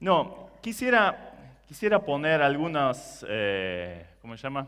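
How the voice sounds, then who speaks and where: A man with a non-native accent. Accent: foreign, non-Argentine Spanish. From Germany. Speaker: preacher. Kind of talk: sermon.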